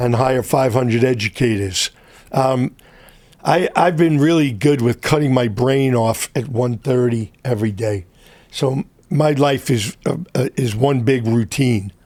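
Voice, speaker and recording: Ordinary pitch variation from a man speaking at a fairly slow pace. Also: medium pitch for a man. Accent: New York. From New York City (Brooklyn). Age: 70s. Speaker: entrepreneur. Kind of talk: interview. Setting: studio.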